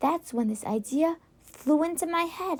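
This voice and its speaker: A squeaky put-on character voice from a woman, extremely high-pitched, at a moderate pace with lively intonation. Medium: read story. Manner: questioning, warm.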